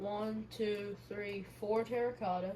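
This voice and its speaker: A woman speaks very slowly in a flat monotone at a medium pitch, with audible room echo. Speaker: gaming YouTuber. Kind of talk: gameplay commentary. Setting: home recording. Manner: quiet.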